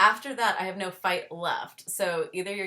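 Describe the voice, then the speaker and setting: Bright and sharp in tone, a woman speaks with a fairly low pitch. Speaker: chronic illness podcast host. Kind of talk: interview. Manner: halting.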